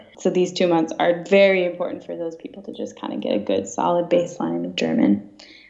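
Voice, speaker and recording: A woman with an American accent talks very fast, with hardly any pauses and big swings in loudness. Noticeable background noise runs underneath. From US Midwest, Woodstock, Illinois. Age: young. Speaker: exchange student. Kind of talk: casual interview. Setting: Skype call.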